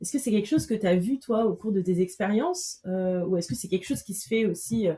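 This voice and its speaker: A woman talks very fast at a medium pitch. Her tone is dark and mellow, and somewhat breathy. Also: lively intonation. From Madagascar. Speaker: podcast host. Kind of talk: interview.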